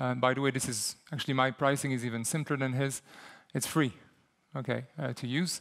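With a French-Canadian accent, a man speaks at a very fast pace. His pitch varies in an ordinary way, and the background is quiet. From Quebec. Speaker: software company CEO. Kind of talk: conference talk with live demo. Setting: stage with audience. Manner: hesitant, repeats words. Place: hall.

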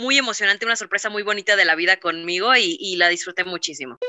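A woman is speaking. Her background is quiet. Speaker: voice actor. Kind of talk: interview answer. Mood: happy, reminiscing. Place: home room. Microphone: video call.

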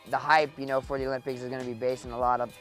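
A man talks over faint background music, the sound dry with no echo. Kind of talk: interview answer. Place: open country.

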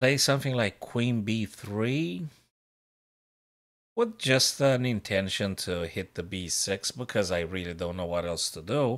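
A man speaks at a fairly slow pace with fairly low pitch. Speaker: chess streamer. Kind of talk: live commentary. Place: home room.

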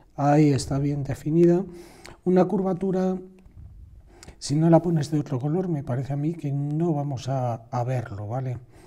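Pausing long and often, a man speaks in a dark, mellow tone at a fairly high pitch. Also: ordinary pitch variation, moderate pace. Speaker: drawing teacher. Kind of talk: tutorial. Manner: halting.

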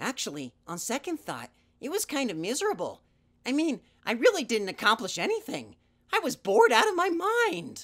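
A man's cartoonish character voice at an extremely high pitch and a moderate pace, in a very clean recording with a silent background. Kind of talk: puppet audition. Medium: puppet.

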